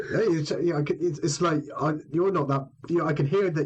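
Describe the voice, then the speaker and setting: Noticeable background noise accompanies a man's voice. He keeps a moderate pace and ordinary pitch variation. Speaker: podcast host interviewing a guitarist. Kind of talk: casual chat.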